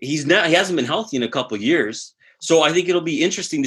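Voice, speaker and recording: With a Southwestern Ontario accent, a man talks in an animated tone with lively intonation. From Southwestern Ontario, Canada. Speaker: fantasy football podcast co-host. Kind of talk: casual chat.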